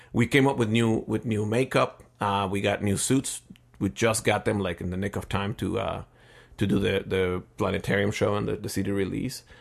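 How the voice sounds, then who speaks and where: With a Spanish accent and vocal fry, a man speaks at a moderate pace in a fairly low voice. His intonation stays fairly even over a quiet background. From Mexico City. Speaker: multidisciplinary artist and musician. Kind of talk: casual interview. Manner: hesitant with many fillers.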